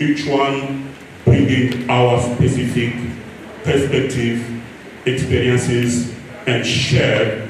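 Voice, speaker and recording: A man with a medium-pitched voice talks very slowly in a flat monotone, with audible room echo and noticeable background noise. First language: French. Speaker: regional coordinator of an NGO. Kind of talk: speech reading. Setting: conference room with audience. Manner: formal.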